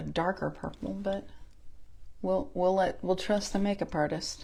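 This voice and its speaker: A woman with an American accent has a dark, mellow tone with vocal fry. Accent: Southern US accent, noticeable at times. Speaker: makeup consultant and beauty vlogger. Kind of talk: makeup tutorial. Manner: casual, chatty.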